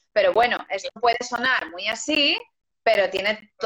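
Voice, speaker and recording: Using a plain, everyday voice, a woman speaks at a fairly slow pace with ordinary pitch variation. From Galicia, Spain (Lugo). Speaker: singer and actress. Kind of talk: interview.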